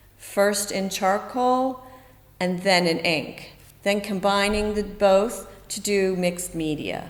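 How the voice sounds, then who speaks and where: A woman's medium-pitched voice in an American accent, very slow and with fairly even intonation, amid audible room echo and noticeable background noise. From US East Coast. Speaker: artist and art teacher. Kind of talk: tutorial. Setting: art centre studio.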